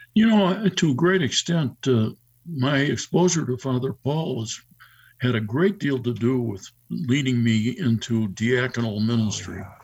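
A man's medium-pitched, somewhat breathy voice in an American accent, fairly slow, with lively intonation. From Chicago North Shore suburbs, US Midwest. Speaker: deacon. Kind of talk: radio interview. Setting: video call.

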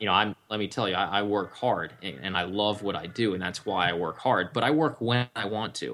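With an American accent and a bright, sharp tone, a man talks at a fairly low pitch and a fairly quick pace, with ordinary pitch variation and hardly any pauses, on a very clean recording with a silent background. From Washington DC area, US East Coast. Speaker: online marketing entrepreneur. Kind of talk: interview.

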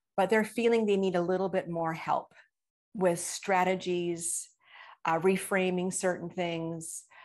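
In a slight Canadian accent, a woman speaks at a fairly slow pace and a medium pitch, her intonation monotone and flat against a quiet background. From Canada, British Columbia. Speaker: trauma recovery coach. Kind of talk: interview.

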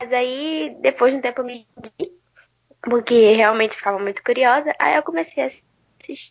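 A woman has a plain, everyday voice with ordinary pitch variation. She talks at a moderate pace. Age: young. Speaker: podcast co-host. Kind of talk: casual chat.

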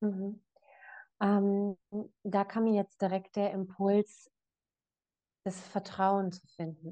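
A woman at a medium pitch with a dark, mellow tone, monotone and flat, very slow with long, frequent pauses and big swings in loudness, in a dry, close sound with no echo. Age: 20s. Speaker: life coach. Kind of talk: casual chat.

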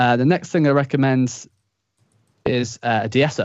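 A man's voice of medium pitch with a Yorkshire accent and ordinary pitch variation. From northern England, Leeds. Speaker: music production instructor. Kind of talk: casual interview chat. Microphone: studio microphone with limiter.

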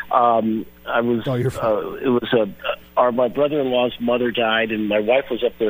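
A man with fairly even intonation keeps a moderate pace while noticeable background noise is heard. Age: 60s. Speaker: sports journalist. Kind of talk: radio interview.

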